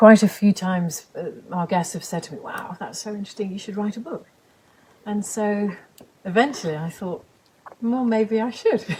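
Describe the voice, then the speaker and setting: Over noticeable background noise, a woman with a northern English accent speaks at a medium pitch and a moderate pace, with ordinary pitch variation, big swings in loudness and long, frequent pauses. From England, Lancashire. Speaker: author and game lodge manager. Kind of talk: interview.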